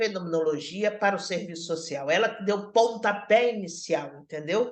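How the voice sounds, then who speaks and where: Very broad swings in pitch from a woman speaking in the middle of her range. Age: 60s. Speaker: social work professor. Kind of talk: online lecture. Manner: halting, with many fillers and repetitions.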